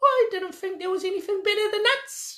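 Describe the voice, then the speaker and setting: A squeaky, put-on character voice at an extremely high pitch and a fairly quick pace. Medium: read story.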